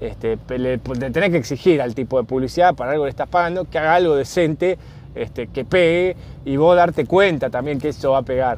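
Noticeable background noise sits behind a man with a Rioplatense accent, who talks at a fairly high pitch and a fairly quick pace with ordinary pitch variation. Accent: Argentine Rioplatense Spanish. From Argentina. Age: 40s. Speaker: podcast host. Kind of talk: casual solo monologue. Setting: in a car.

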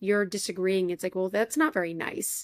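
A woman with an American accent has an unremarkable speaking voice at medium pitch and a moderate pace, recorded very cleanly with a silent background and a dry, close sound with no echo. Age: 20s. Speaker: podcast host. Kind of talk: casual chat.

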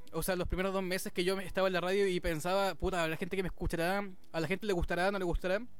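A man with a Chilean accent speaks at a very fast pace, high-pitched and monotone, with flat intonation and very even loudness. Music plays in the background, and the room echo is audible. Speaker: DJ and radio presenter. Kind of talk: casual chat.

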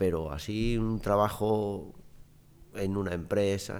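A fairly deep male voice with mostly level intonation. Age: 60s. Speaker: interview guest. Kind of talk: casual chat.

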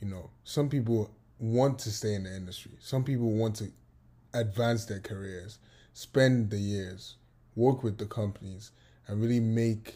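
Against a silent background in a very clean recording, a man speaks at medium pitch and a fairly slow pace, somewhat breathy, dark and mellow in tone, with fairly even intonation. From Nigeria (Lagos). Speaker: podcast co-host. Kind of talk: casual chat.

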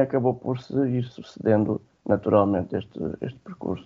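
Using a normal speaking voice, a man talks at a moderate pace and a medium pitch with ordinary pitch variation. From Alentejo, Portugal (Alcácer do Sal). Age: 20s. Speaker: IT trainer for blind people. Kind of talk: radio interview.

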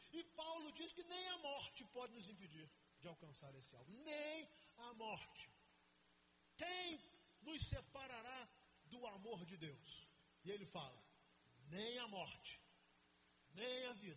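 A man with a raised, projected voice speaks at an extremely high pitch with very wide pitch swings and a bright, sharp tone. His pace is fairly slow with long, frequent pauses, and audible room echo is present. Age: 50s. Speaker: pastor. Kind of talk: sermon.

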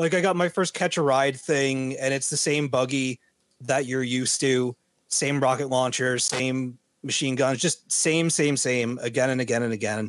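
Medium in pitch, a man with an unremarkable speaking voice talks at a moderate pace with ordinary pitch variation. His loudness stays very even. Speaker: video game podcast co-host. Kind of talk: casual chat.

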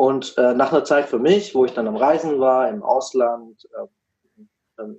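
A man speaks in a normal speaking voice at medium pitch, with ordinary pitch variation. His pace is fairly slow. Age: 20s. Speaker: business consultant for coaches. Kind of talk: casual interview.

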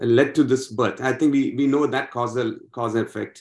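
This is a man with a normal speaking voice at medium pitch. The recording is very clean, with a silent background. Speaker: scripture study group member. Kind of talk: religious study discussion.

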